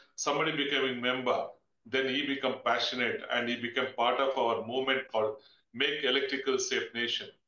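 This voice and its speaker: Amid audible room echo, a man speaks at a fairly quick pace in a monotone, flat intonation with very even loudness. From India. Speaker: webinar moderator, fire industry professional; webinar host, moderator. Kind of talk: webinar moderation. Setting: video call webinar. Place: office. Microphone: webcam.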